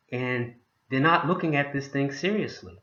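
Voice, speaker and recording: This man's voice has a bright, sharp tone and a fairly high pitch. He talks at a moderate pace with ordinary pitch variation. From Boston, US. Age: 60s. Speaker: motivational vlogger, home business promoter. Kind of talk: motivational talk to camera.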